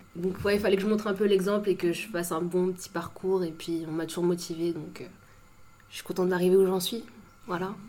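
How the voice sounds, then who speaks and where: A woman talks at a fairly quick pace with monotone, flat intonation and big swings in loudness. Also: medium pitch for a woman. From Paris suburbs, France (Saint-Maur). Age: 20s. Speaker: law student. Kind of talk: casual chat.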